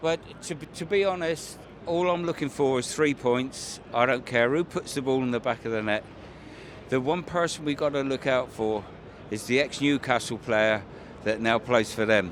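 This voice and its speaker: In a southern English accent, a man speaks at a moderate pace. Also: medium pitch for a man, ordinary pitch variation. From southern England. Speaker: football fan. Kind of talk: vox pop interview.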